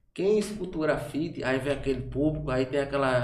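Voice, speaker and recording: Talking at a very fast pace, a man with a fairly high pitch and ordinary pitch variation is heard amid noticeable background noise and audible room echo. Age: 30s. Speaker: event producer. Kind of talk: casual chat.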